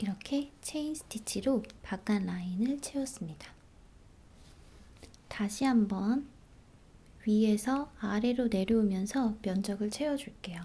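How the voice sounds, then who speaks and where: Whispering softly at a very slow pace, this speaker sounds somewhat breathy and leaves long, frequent pauses. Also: woman. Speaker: embroidery instructor. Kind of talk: ASMR embroidery tutorial narration. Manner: whispery, soft-spoken.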